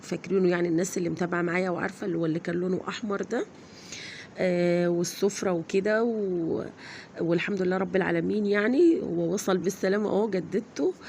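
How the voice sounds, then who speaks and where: A woman speaks with an Egyptian accent. Her pitch is fairly low. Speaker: vlogger. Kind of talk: casual vlog.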